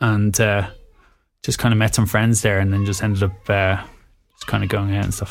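A man in a Dublin accent, fairly low in pitch, at a fairly quick pace. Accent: Irish (Dublin area). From Ireland, small town near Dublin. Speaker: DJ and music producer. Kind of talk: casual interview conversation.

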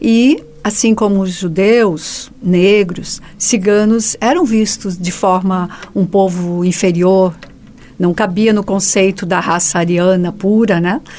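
Speaking at a very slow pace, a woman keeps her medium-pitched voice in a fairly even intonation. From Joinville, southern Brazil. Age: 50s. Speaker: writer. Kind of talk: radio interview.

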